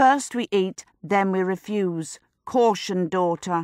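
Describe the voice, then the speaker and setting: Using a put-on character voice, a woman speaks at a very slow pace in a medium pitch with ordinary pitch variation. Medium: read story. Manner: brisk, sharp.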